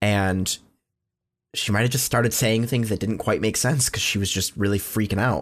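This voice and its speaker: Speaking at a moderate pace with very even loudness, a man with a fairly low pitch sounds animated. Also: quiet background. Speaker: podcast host. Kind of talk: casual banter. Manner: animated, joking.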